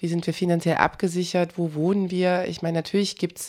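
This woman has a plain, everyday voice at a fairly low pitch. She speaks at a moderate pace. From eastern Germany (former GDR). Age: 30s. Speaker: journalist, documentary protagonist. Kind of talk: interview.

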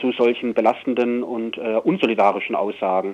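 Here a man uses an ordinary speaking voice at a medium pitch with fairly even intonation. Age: 50s. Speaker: prisoner. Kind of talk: interview. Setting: phone call. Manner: articulate.

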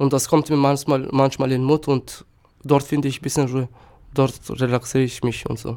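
A man speaks with a Turkish accent at medium pitch. His delivery is monotone and flat, at a moderate pace. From North Macedonia, Štip. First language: Turkish (speaking German). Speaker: asylum seeker. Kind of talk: interview. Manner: halting.

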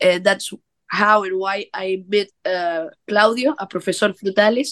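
A woman with a normal speaking voice talks at a fairly slow pace and a fairly high pitch. The sound is dry and close, with no echo. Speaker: band member, musician. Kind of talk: casual interview.

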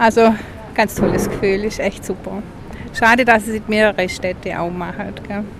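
Against noticeable background noise, a woman speaks at a medium pitch and a moderate pace with fairly even intonation. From Meßkirch area, Baden-Württemberg. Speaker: visitor, passer-by. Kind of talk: street interview. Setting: outdoors in town.

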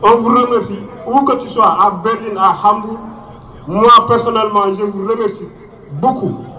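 Over noticeable background noise and audible room echo, a man with a high pitch projects a raised voice at a moderate pace, keeping his intonation fairly even and pausing long and often. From Mauritania. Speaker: refugee activist. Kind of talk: rally speech.

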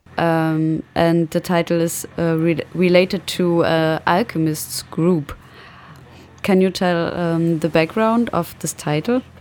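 Her intonation stays fairly even at a very slow pace. The woman's pitch is fairly low. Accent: German. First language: German. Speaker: radio host. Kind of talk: radio interview.

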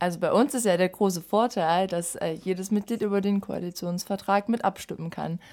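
A woman's medium-pitched voice, dark and mellow in tone, at a moderate pace with fairly even intonation, on a very clean recording with a silent background. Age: 20s. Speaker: youth party chairwoman, student. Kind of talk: political interview.

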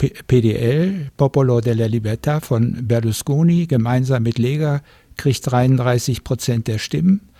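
Speaking at a very slow pace, a man uses a medium pitch with ordinary variation. His voice is somewhat breathy, with a dark, mellow tone. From Germany. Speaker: retired sociologist. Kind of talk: studio interview. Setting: radio studio.

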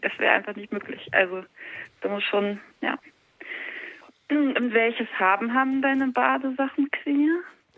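Lively intonation and big swings in loudness mark this moderate-paced delivery, broken by long, frequent pauses. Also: woman. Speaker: guest calling in. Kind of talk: casual chat. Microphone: bad reception.

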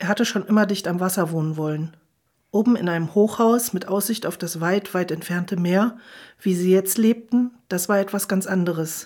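Moderate pace, medium pitch and ordinary pitch variation in a woman's voice. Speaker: audiobook reader and radio host. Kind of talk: literary audiobook reading, scripted narration of a novel. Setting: radio broadcast studio. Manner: calm, measured storytelling pace with dramatized character dialogue.

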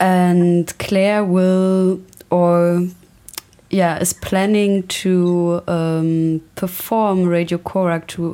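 A woman speaks very slowly with a German accent, her pitch fairly low. Her tone is dark and mellow, and her intonation stays monotone and flat. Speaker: radio presenter. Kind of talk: interview. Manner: halting.

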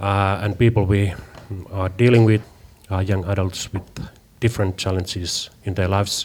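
With a Finnish accent, a man speaks at a moderate pace and fairly low pitch in a monotone, flat way, leaving long, frequent pauses. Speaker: youth media worker. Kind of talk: interview.

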